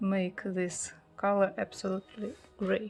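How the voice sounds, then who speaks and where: A woman at a medium pitch and very slow pace, with music in the background. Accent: Russian. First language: Russian. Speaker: pastel art teacher. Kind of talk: tutorial. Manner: halting.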